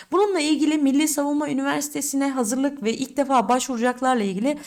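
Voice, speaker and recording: A woman talks at a fairly quick pace in a high pitch with an animated tone. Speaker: exam prep teacher. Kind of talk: tutorial.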